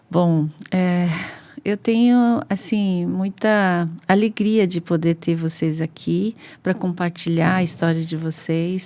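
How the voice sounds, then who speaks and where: Against a silent background in a very clean recording, a woman with a fairly low pitch and a dark, mellow tone speaks at a very slow pace with fairly even intonation. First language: not Portuguese (speaking Portuguese). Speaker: podcast host. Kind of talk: interview.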